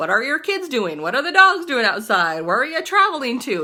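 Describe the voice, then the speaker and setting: A woman projects her raised, high voice with a bright, sharp tone and very wide pitch swings at a moderate pace. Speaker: network marketing distributor. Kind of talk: casual tutorial vlog. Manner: animated.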